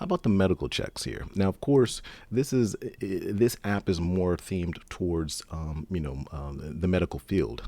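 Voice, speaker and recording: Fairly low and dark, a man's mellow voice swings very widely in pitch. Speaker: software developer. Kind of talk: tutorial. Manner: fast; halting.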